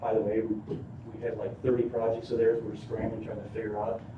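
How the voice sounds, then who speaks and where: A man talks at a fairly quick pace in a medium pitch. Audible room echo surrounds his voice. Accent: Inland North. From northern Illinois. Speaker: solar developer representative. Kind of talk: presentation to city council. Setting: city council meeting. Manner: fast.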